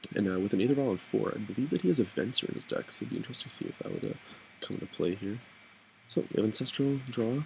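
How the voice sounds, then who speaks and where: The speaker is a man whose voice carries vocal fry. He talks at a very fast pace. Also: ordinary pitch variation. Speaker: card game commentator. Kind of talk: live commentary. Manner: loud.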